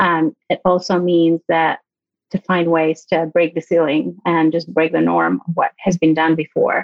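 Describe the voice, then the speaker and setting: Loudness stays very even throughout, at a fairly slow pace. The speaker has a Greek accent. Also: woman, fairly low pitch for a woman. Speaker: business owner and designer. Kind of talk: interview. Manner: animated.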